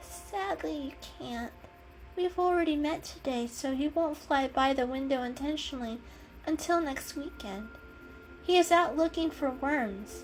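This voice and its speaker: A woman's put-on character voice, high in pitch, at a moderate pace with clear music in the background. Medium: read story. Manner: hesitant, soft.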